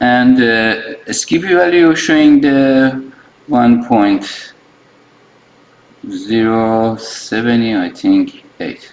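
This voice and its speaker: With a non-native accent, a man at a medium pitch speaks at a very slow pace, leaving long, frequent pauses. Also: ordinary pitch variation. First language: not English. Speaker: phone repair technician. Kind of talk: tutorial. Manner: halting, many fillers and restarts.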